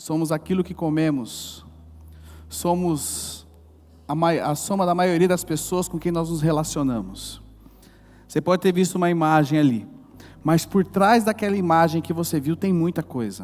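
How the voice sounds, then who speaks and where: A man with a high pitch, ordinary pitch variation, a moderate pace and long, frequent pauses. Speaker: pastor. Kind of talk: sermon. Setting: church service. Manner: animated.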